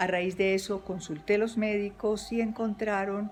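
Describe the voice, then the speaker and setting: In a normal speaking voice, a woman of medium pitch talks at a fairly slow pace with fairly even intonation. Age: 60s. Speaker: therapy patient. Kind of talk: testimony.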